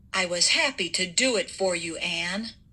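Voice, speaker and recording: A woman does a put-on character voice, growling at a medium pitch and a moderate pace. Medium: read story.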